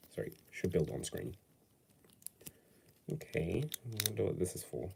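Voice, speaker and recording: A man's fairly low voice with vocal fry, very wide pitch swings and a moderate pace. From Britain. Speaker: LEGO build streamer. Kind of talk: casual live stream while building. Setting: home, no studio. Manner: casual, hesitant with fillers.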